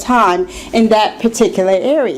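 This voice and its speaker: Speaking at a fairly slow pace, a woman lets her pitch swing very widely over noticeable background noise. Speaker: public speaking club member. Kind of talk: prepared speech. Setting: club meeting with audience.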